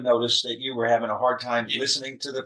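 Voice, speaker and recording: A man speaks at a fairly quick pace. He has an American accent. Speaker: judge. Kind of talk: courtroom sentencing hearing. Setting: courtroom. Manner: stern; loud.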